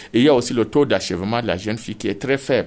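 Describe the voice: A man talks at a fast pace with lively intonation.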